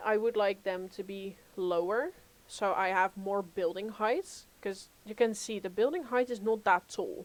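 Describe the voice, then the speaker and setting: Using an ordinary speaking voice, a woman talks at a medium pitch and a fairly slow pace. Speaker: gaming streamer. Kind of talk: live gameplay stream chat. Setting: home, live stream.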